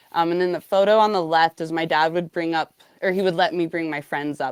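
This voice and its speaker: An ordinary speaking voice from a woman with an American accent, fairly low in pitch and fairly quick, in a dry, close sound with no echo. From Montana. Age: 30s. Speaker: rockhound and lapidary artist. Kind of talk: podcast interview. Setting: live online show. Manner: casual, many fillers.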